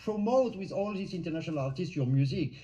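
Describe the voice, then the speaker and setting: A man with a non-native accent, a dark, mellow tone and lively intonation, with audible room echo. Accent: foreign accent in English. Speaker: live show host. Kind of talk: live interview. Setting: live stream. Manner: hesitant, many fillers.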